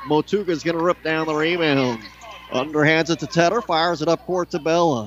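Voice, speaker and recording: The voice moves at a fairly quick pace, with a dry sound with no echo and light background noise. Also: man, fairly high pitch for a man, ordinary pitch variation. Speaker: play-by-play announcer. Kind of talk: live commentary. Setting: arena broadcast. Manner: fast-paced play-by-play delivery; animated, rising on big shots. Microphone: headset.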